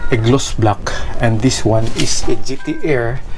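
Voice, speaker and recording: A man speaks with ordinary pitch variation. Noticeable background noise is present. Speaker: motovlogger. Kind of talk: casual vlog chat. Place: home room.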